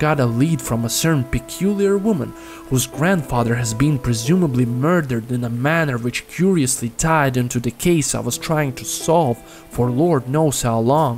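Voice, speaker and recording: Music plays in the background while the speaker talks at a moderate pace. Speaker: storyteller. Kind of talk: horror story narration.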